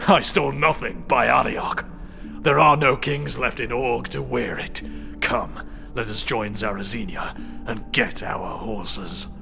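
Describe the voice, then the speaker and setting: A man uses a put-on character voice at medium pitch and a moderate pace. Loud music plays in the background. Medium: read story. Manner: measured, formal.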